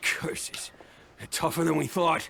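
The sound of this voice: A man does a cartoonish character voice, fairly high-pitched and fairly bright, with vocal fry, a slow pace and ordinary pitch variation.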